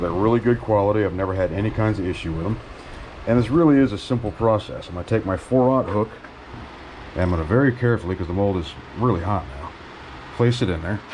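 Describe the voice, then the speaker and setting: Over noticeable background noise, the speaker goes at a very fast pace with long, frequent pauses and ordinary pitch variation. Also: man, fairly low pitch for a man. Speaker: fishing hobbyist. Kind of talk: tutorial. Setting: garage. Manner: casual.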